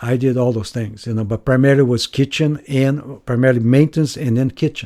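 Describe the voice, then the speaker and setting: A man speaks at a medium pitch in a dark, mellow tone with fairly even intonation. He keeps a moderate pace in a very clean recording with a silent background. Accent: Brazilian. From Brazil. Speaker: retreat center staff member. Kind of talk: interview.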